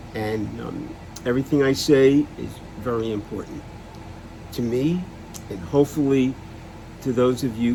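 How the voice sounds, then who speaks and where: Fairly even intonation shapes a man's medium-pitched speech. Noticeable background noise sits behind him. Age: 70s. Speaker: person living with Alzheimer's sharing experience. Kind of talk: personal vlog talk. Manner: halting.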